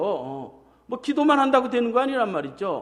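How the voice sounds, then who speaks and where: The speaker is a man with an extremely high pitch. He talks at a moderate pace. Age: 50s. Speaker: pastor. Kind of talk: sermon.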